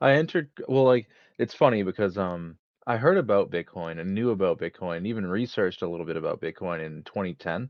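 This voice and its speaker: In an American accent, a man speaks with a very deep, low pitch. His intonation is lively and his pace fairly quick. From United States. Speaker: crypto investor guest. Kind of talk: casual chat. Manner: hesitant.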